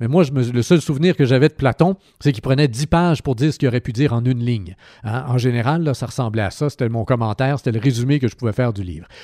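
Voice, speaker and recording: A man speaks very fast with a dark, mellow tone and ordinary pitch variation. The recording is very clean with a silent background, and the sound is dry and close with no echo. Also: medium pitch for a man. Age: 40s. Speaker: radio host. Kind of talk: radio book review. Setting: radio studio.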